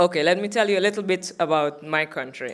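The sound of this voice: A woman talks at a fast pace. Her pitch is fairly low, with ordinary pitch variation.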